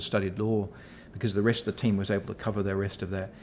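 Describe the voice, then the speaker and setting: Fairly low in pitch, a man speaks with a New Zealand accent. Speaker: executive director at a professional services firm. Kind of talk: interview. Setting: office. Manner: halting, many fillers.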